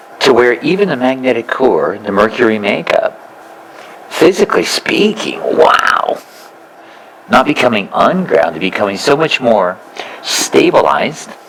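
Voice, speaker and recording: A man talks at a fairly slow pace with long, frequent pauses. Noticeable background noise runs behind him. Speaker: spiritual teacher. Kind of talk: spiritual talk to a live audience.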